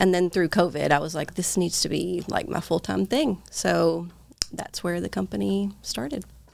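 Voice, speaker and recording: A woman at a moderate pace, with a Southern US accent. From Eastern Kentucky, small town. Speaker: nurse and clinic owner. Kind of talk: casual chat.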